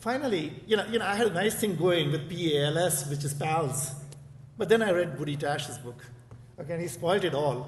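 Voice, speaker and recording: Amid noticeable background noise and audible room echo, a man with an Indian accent talks in a fairly high pitch with ordinary pitch variation. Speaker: professor. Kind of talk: conference speech. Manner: fast; repetitive, hesitant fillers.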